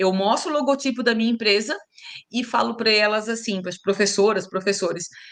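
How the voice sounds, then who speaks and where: A woman with a Santa Catarina accent talks at a fairly quick pace. Her fairly high pitch shows ordinary variation. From Brazil, Santa Catarina (Itajaí). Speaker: teacher and speaker. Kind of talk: interview conversation.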